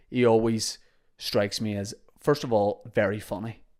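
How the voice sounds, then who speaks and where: A man talks at a medium pitch with monotone, flat intonation. The recording is very clean, with a silent background. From Northern Ireland, Holywood, County Down. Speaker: podcast host and comedian. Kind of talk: casual podcast monologue.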